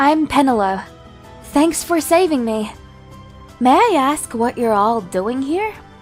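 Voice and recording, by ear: Over faint music in the background, a woman does a put-on character voice, pitched high. She talks at a slow pace with big pitch swings.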